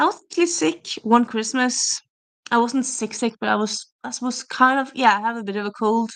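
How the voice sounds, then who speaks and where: A woman with a slight Norwegian accent and ordinary pitch variation. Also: fairly high pitch for a woman, moderate pace. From Norway. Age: 30s. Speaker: booktuber streamer. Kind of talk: casual livestream chat. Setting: livestream on camera. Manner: chatty, hesitant with fillers.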